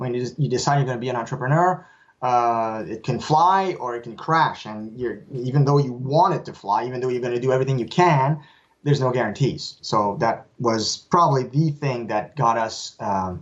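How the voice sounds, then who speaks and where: A man speaks at a medium pitch with a Quebec accent. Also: ordinary pitch variation, moderate pace. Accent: French Canadian accent in English. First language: French. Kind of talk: interview. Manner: halting, with repeats and fillers.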